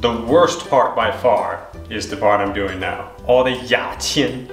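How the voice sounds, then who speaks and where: Faint music plays behind a man whose speech shows ordinary pitch variation and audible room echo. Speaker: home cook vlogger. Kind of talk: casual vlog chat. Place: kitchen. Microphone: phone near.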